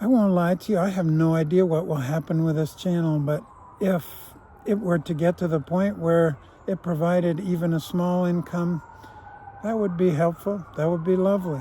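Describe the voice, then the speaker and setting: Over noticeable background noise, a man with a high voice speaks at a moderate pace with fairly even intonation. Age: 60s. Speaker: vlogger, former prisoner. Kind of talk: reflective monologue. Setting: outdoors on a walk.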